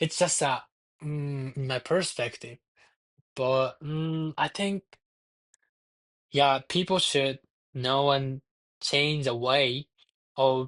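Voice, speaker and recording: With a Japanese accent, a man at medium pitch speaks at a very slow pace in a dry, close sound with no echo. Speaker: university student interviewee. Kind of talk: interview. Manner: halting.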